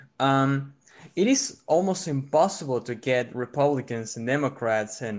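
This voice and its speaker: A man talks with a strong Argentine accent and a fairly high pitch. His intonation is lively, and the background is quiet. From Argentina. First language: Spanish. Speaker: caller debating a political view. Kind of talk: debate. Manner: polite, measured.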